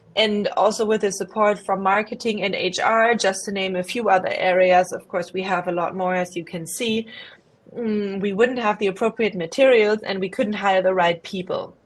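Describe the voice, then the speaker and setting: This woman speaks at a moderate pace with fairly even intonation and a slight German accent. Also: medium pitch for a woman. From Germany. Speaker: investment professional. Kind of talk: career presentation. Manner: hesitant, many fillers.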